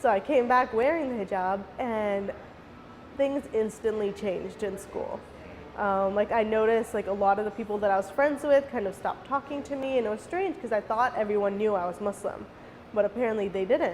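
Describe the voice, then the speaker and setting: A woman with an American accent speaks fairly quickly in a fairly high voice with ordinary pitch variation. Noticeable background noise runs underneath. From North Carolina (Raleigh). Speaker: county commissioner. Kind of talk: interview testimony.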